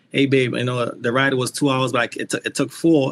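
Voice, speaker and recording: A man speaks with a Trinidadian accent at a fairly high pitch. Noticeable background noise sits behind him. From Trinidad and Tobago. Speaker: motorcycle rider, foundation founder. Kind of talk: podcast interview. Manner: animated.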